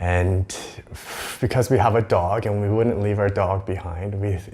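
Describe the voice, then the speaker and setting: A man talks at a moderate pace with a Western Canadian accent. His voice is fairly low and somewhat breathy. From Vancouver area, British Columbia, Canada. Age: 30s. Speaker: vlogger. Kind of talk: casual vlog monologue. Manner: hesitant, many fillers.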